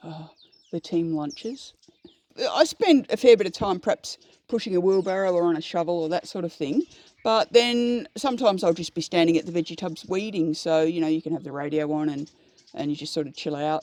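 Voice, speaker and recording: With an Australian accent, a woman talks fairly quickly in a fairly low voice with a dark, mellow tone and lively intonation. Her loudness swings widely, and the sound is dry and close with no echo. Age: 60s. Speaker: horticulturist. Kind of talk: casual chat. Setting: outdoors.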